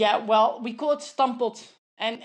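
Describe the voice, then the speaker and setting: A woman speaks fairly slowly in a fairly high voice with monotone, flat intonation. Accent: Dutch. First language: Dutch. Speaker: nutritionist. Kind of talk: interview. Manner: halting, many fillers.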